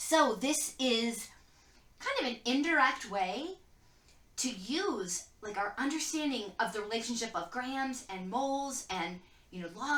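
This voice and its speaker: A woman's high voice with very wide pitch swings and audible room echo. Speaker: chemistry teacher. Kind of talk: lecture.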